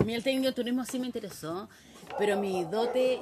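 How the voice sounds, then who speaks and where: Noticeable background noise behind a woman's lively intonation. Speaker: interviewee recalling the 1980s. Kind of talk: casual interview.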